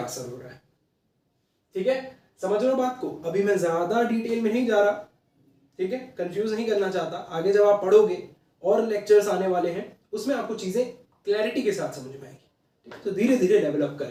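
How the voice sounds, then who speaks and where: A man talks at a moderate pace in a high pitch with a dark, mellow tone. His loudness swings a lot. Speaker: online teacher. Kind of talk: lecture. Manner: code-switching Hindi-English, conversational; quiet, not speaking loudly.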